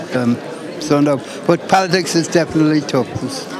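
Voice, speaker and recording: Man with a northwest Irish accent, fairly high in pitch with ordinary pitch variation, at a moderate pace with audible room echo and crowd noise in the background. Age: 80s+. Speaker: local political enthusiast. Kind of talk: live interview.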